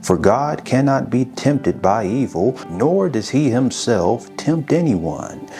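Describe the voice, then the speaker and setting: Over music in the background, a man with a medium pitch talks very slowly, his pitch swinging very widely while his loudness stays very even. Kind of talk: scripture reading. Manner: calm, soothing.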